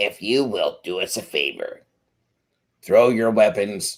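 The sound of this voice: A man puts on a character voice, speaking fairly slowly at a medium pitch.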